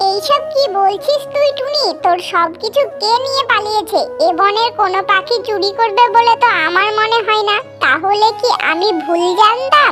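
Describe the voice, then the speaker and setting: An extremely high, female-sounding cartoonish character voice speaks over clear music in the background. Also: moderate pace. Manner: world-weary.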